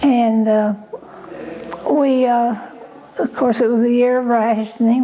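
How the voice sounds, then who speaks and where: With an Arkansas accent, a woman at a fairly high pitch speaks at a fairly slow pace in a monotone, flat intonation against noticeable background noise. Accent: Southern US (Arkansas). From US South, Cane Hill, Arkansas. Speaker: oral history interviewee. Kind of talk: oral history interview.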